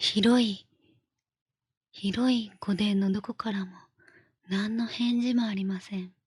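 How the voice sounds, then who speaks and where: A woman's soft-spoken, somewhat breathy whispering at a very slow pace. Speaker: virtual streamer. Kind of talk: bedtime story reading. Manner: whispered, soft, relaxed; slow, leisurely.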